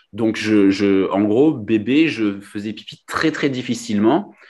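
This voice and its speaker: A man speaks very slowly with a slight Nice accent. His pitch is medium with ordinary variation, over a quiet background. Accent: slight southern French (Nice). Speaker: kidney transplant recipient and trail runner. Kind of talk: interview testimony. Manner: hesitant, many fillers.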